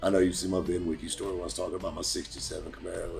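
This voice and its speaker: A man talks while music plays in the background. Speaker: used car dealer. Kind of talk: casual talk to camera, storytelling. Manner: casual, conversational, humorous.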